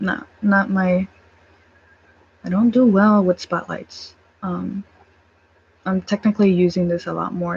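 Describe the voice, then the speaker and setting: A woman's somewhat breathy, fairly slow, monotone, flat delivery with long, frequent pauses, dry and close with no echo. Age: 20s. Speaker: vlogger. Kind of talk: casual chat. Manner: halting.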